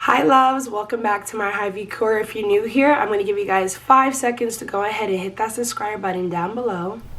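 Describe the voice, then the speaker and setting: A woman speaks at a fairly quick pace with hardly any pauses and a fairly high pitch. The recording has audible room echo and noticeable background noise. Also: ordinary pitch variation. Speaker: lifestyle vlogger. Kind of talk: tutorial. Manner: casual.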